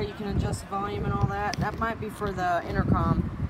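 A woman speaks while loud background noise fills the recording. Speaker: motorcycle salesperson. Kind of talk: product walkaround commentary. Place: street. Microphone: phone near.

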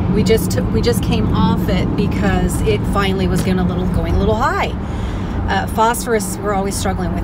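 A woman at a very fast pace, dry sound with no echo, loud background noise behind her. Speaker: lifestyle vlogger. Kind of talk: casual vlog chat. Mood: serious, emotional personal news. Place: car.

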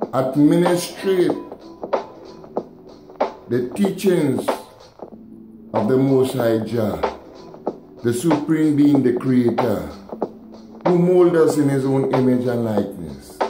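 With long, frequent pauses, a man talks at a very slow pace as music plays in the background. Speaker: dub poet. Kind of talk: poetry reading. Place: home room. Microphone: phone near.

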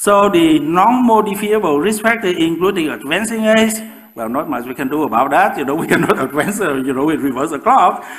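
A man with a high voice speaks in very wide pitch swings, with hardly any pauses. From Vietnam. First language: Vietnamese. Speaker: professor and osteoporosis researcher. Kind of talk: public lecture. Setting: lecture with audience. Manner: halting, with frequent fillers. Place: hall.

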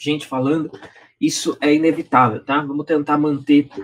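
Light background noise runs through the clip. Over it, a man talks. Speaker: online class host. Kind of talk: lecture intro, live stream. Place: home room.

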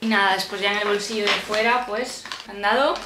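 Over noticeable background noise, a woman talks in a relaxed tone with a fairly high pitch and ordinary pitch variation. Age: 20s. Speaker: civil service exam candidate. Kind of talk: casual talk to camera. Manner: chatty, relaxed.

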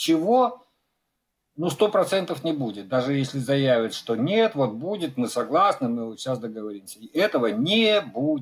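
Pitch swings very widely in this man's voice. It sits fairly high overall. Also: moderate pace. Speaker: maritime news editor. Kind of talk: remote interview. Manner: colloquial. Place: home room.

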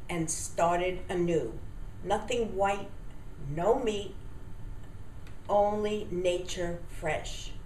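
Long, frequent pauses break up a woman's very slow speech, with ordinary pitch variation. Room echo is audible, along with light background noise. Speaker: testimonial giver. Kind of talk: customer testimonial. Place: home room. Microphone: webcam.

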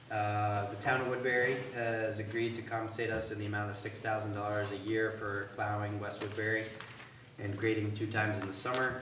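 Over noticeable background noise and audible room echo, a man talks fairly quickly at a fairly low pitch with monotone, flat intonation. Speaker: town manager giving report. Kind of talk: meeting report. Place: meeting room. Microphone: camera far.

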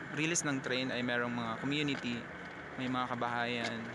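A man speaks at a moderate pace in a dry sound with no echo. Loud background noise runs throughout. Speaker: passenger vlogger. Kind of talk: casual vlog chat. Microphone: phone near.

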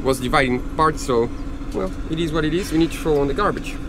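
The sound is dry with no echo, with ordinary pitch variation and noticeable background noise. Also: man. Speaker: sailing vlogger. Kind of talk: casual vlog chat. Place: boat. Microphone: phone near.

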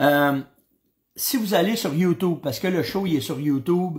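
A man speaks with a Quebec accent in an animated tone. The background is quiet. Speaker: hunting show host. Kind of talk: casual live-stream chat. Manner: animated, hesitant with many fillers. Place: home room. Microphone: webcam.

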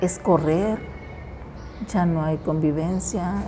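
The pace is moderate. Noticeable background noise sits behind the voice. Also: woman. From Mexico, Costa Chica of Guerrero. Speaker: local resident interviewee. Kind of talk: interview reminiscence. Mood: nostalgic, reflective. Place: hall. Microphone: lapel.

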